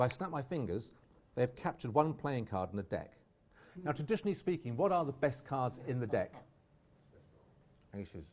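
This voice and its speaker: A somewhat breathy man with an English accent, medium pitch, very wide pitch swings, a fairly quick pace and long, frequent pauses. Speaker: magician. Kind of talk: live magic performance. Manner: fast; animated.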